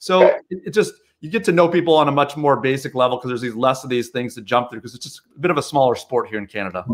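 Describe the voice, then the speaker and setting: In an American accent, a man talks at a very fast pace with lively intonation and big swings in loudness over light background noise. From US, Chicago area. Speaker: podiatrist and marketing business owner; guest. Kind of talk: casual interview chat. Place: home room.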